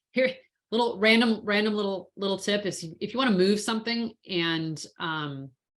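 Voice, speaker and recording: A woman's normal speaking voice, medium in pitch, at a moderate pace with ordinary pitch variation. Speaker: InDesign trainer. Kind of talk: tutorial.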